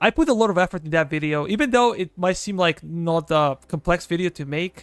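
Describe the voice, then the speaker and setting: A man with a Serbian accent speaks in a high voice at a moderate pace. The sound is dry and close with no echo, on a very clean recording with a silent background. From Serbia, southeastern. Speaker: gaming streamer. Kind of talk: live gameplay stream chat.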